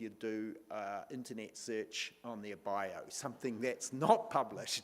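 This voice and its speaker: A man talks with a New Zealand accent. His pitch moves in very wide swings. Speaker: panel moderator. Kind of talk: panel moderation.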